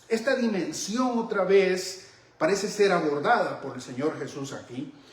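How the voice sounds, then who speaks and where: A man speaks fairly slowly at a high pitch, with audible room echo and noticeable background noise. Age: 60s. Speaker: Bible teacher. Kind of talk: sermon-style Bible teaching.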